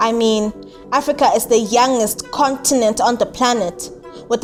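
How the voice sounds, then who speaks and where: Over music in the background, a woman speaks at a high pitch. Her pace is moderate, with ordinary pitch variation. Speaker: spoken word poet. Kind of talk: spoken word poetry performance.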